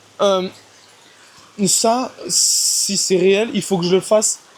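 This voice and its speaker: Over noticeable background noise, a man with a high pitch speaks at a very slow pace, with ordinary pitch variation. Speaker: vlogger doing daily push-up challenge. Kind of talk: personal video diary monologue. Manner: halting, self-correcting.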